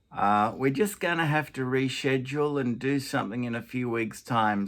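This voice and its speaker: On a very clean recording with a silent background, a man with a bright, sharp tone speaks at medium pitch and moderate pace with ordinary pitch variation. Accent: Australian. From Australia. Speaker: grandfather. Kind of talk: casual talk to camera.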